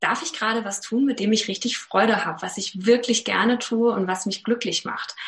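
A woman talks at a moderate pace with a fairly high pitch and fairly even intonation. She has a plain, everyday voice. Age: 30s. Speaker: actress, presenter and voice coach. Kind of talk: casual interview chat.

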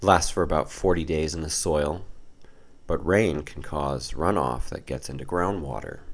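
Vocal fry marks this man's speech. His pitch is very deep and low. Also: ordinary pitch variation, moderate pace. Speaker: podcast host on occult and mythology. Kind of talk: scripted narration.

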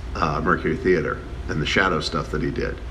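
Speaking with an American accent at a moderate pace, a man is heard with audible room echo and noticeable background noise. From Chicago. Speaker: screenwriter. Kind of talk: documentary interview.

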